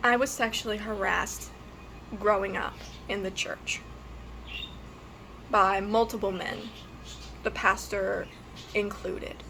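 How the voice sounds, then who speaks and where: Talking at a fairly slow pace, a woman leaves long, frequent pauses. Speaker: YouTuber. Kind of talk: personal testimony vlog. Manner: halting, hesitant.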